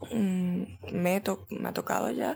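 Background noise is noticeable here. It sits under a woman's voice. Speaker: content creator and podcast host. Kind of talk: casual monologue.

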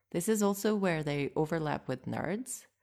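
In a quiet background, a woman with a Russian accent speaks at a moderate pace and fairly low pitch, with ordinary pitch variation. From Moscow, Russia. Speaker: podcast host and interpreter. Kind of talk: scripted narration, podcast monologue.

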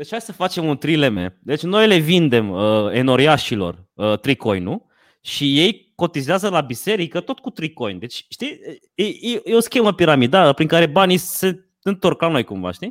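Fairly high male voice with very wide pitch swings, dry and close with no echo, on a very clean recording with a silent background. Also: moderate pace. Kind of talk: casual chat.

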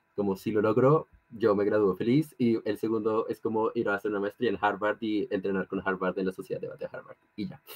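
An unremarkable speaking voice at a fairly quick pace, with hardly any pauses and fairly even intonation. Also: man, fairly low pitch for a man. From Colombia. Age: 18. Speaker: law student and debater. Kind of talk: casual interview.

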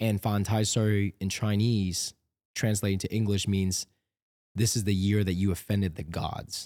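On a very clean recording with a silent background, a man speaks at a fairly low pitch in a monotone, flat way. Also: moderate pace. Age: 30s. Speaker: fitness YouTuber and podcast co-host. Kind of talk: casual chat. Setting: studio.

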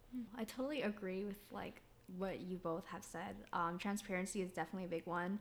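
A woman with an American accent speaks in an ordinary speaking voice at a fairly quick pace, her medium pitch showing ordinary variation. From Sacramento, California; Minnesota from eighth grade. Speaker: podcast co-host. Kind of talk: casual chat.

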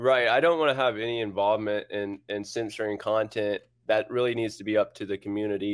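His intonation stays fairly even while he speaks at a moderate speed. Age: 30s. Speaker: blockchain startup co-founder. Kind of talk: interview. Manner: halting.

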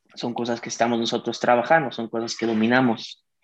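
A man with a plain, everyday voice at medium pitch and a fairly quick pace. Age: 20s. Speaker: digital media entrepreneur. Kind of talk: interview.

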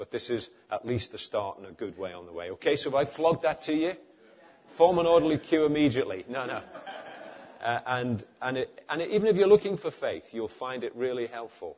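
A man with a Liverpool accent talks at a fairly quick pace and medium pitch, with very wide pitch swings and big swings in loudness. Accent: Scouse (Liverpool). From northern England, Liverpool. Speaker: preacher. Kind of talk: sermon. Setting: church with audience.

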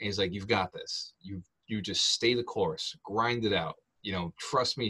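Dry, close sound with no echo carries a man's fairly low voice. His pitch varies in an ordinary way. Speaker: real estate investor and author. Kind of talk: podcast interview. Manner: animated.

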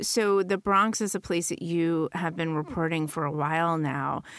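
In a very clean recording with a silent background, a woman with a normal speaking voice and fairly low pitch talks at a moderate pace with ordinary pitch variation. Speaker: executive producer and host. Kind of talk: scripted narration. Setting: studio.

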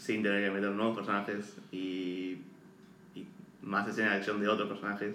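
A man's monotone, flat delivery at a moderate pace, with long, frequent pauses and audible room echo. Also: fairly low pitch for a man. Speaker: podcast co-host, film commentator. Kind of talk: casual chat.

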